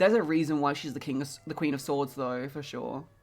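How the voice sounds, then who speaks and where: With music in the background, a woman speaks in a very deep, low pitch. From England. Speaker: tarot streamer. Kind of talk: casual live stream chat. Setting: live stream. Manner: casual, filler-heavy.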